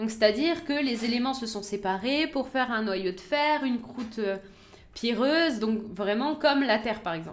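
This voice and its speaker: There is ordinary pitch variation as a woman speaks in a fairly high pitch. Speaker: science streamer. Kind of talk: live stream science talk. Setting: live stream. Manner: fast.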